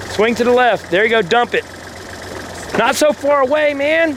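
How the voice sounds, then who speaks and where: A loud male voice over noticeable background noise. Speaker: backhoe operator instructing a friend. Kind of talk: on-the-job instruction, casual chat. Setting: outdoors on a job site. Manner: talkative, rapid commands.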